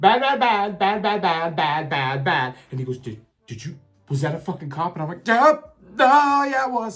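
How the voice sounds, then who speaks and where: An animated man with an American accent and a high pitch talks at a moderate pace, with very wide pitch swings and big swings in loudness. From Alabama, US South. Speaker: storyteller, content creator. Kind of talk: casual storytelling.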